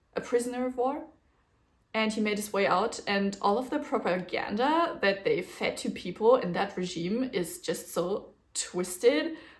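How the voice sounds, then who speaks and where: A woman with a German-speaking European accent speaks at a moderate pace, her fairly high pitch carrying lively intonation. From German-speaking region, grew up speaking a German dialect. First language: German dialect (Swiss or similar); Standard German second. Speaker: knitting podcaster. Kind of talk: casual chat. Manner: casual, with fillers and self-corrections.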